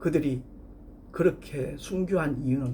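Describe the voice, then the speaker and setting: A man's voice with audible room echo. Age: 60s. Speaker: pastor. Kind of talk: sermon.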